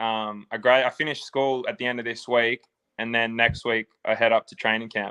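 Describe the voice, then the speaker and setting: A man with an Australian accent speaks at a moderate pace in a bright, sharp tone with monotone, flat intonation and big swings in loudness, the sound dry and close with no echo. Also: medium pitch for a man, quiet background. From Australia, Sydney. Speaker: football player. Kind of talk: interview.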